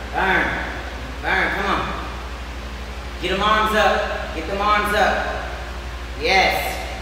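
A woman speaks at a very slow pace in a room with strong echo. Noticeable background noise runs underneath. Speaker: fitness instructor. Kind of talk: workout class cueing and counting. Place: gym.

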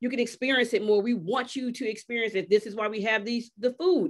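With an American accent, a woman speaks at a fairly quick pace. Her pitch is high, and the background is quiet. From US South. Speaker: wine industry advocate and writer; panelist, moderator. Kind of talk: keynote then panel moderation. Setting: video call. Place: home room. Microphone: video call.

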